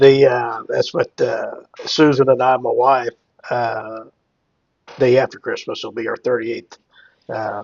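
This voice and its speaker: A man speaking at a moderate pace in a Midwestern US accent. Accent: rural Midwestern American. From Cass County, Missouri area (US Midwest). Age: 60s. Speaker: hemp entrepreneur and farmer. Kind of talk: casual interview chat. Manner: halting, many fillers.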